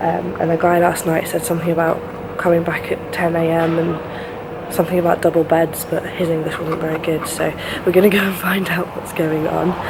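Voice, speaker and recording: Delivered at a fairly quick pace in a monotone, flat intonation, the speech comes with noticeable background noise and audible room echo. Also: woman, fairly low pitch for a woman. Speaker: travel vlogger. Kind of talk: travel vlog. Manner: quiet.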